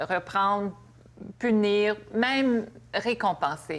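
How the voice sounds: A woman talks at a medium pitch. Her voice has vocal fry.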